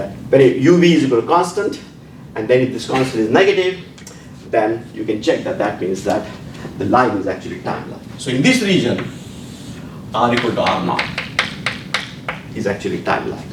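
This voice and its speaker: A man at medium pitch makes very wide pitch swings and leaves long, frequent pauses, heard with noticeable background noise and audible room echo. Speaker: physics professor. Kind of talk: lecture. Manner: halting, with fillers and repetitions; fast.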